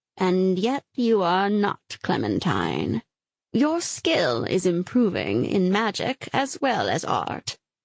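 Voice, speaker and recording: Using a put-on character voice, a woman speaks at a very slow pace with very wide pitch swings. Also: medium pitch for a woman. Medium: read story. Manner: stately, measured.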